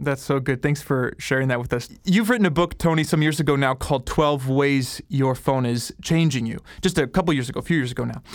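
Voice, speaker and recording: A man's normal speaking voice, fairly high in pitch, at a fairly quick pace with ordinary pitch variation and hardly any pauses. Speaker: podcast interviewer. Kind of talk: casual interview conversation.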